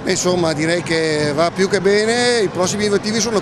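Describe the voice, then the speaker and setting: A man speaks in a high voice with ordinary pitch variation, the sound dry with no echo and noticeable background noise behind him. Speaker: basketball club representative. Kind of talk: post-match interview. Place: hall. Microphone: handheld.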